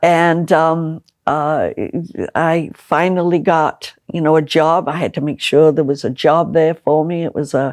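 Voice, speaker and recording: A woman with an American accent speaks at a very deep, low pitch and a fairly slow pace, in monotone, flat intonation. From Liverpool, England. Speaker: political candidate. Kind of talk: interview. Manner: halting with many fillers and repetitions.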